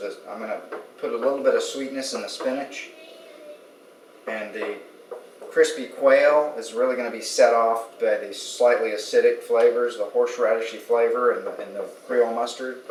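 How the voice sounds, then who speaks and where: Amid noticeable background noise and audible room echo, a man talks at a moderate pace with big swings in loudness. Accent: American. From Texas, Austin. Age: 40s. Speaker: cooking competition contestant, architect. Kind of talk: cooking demonstration. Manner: casual.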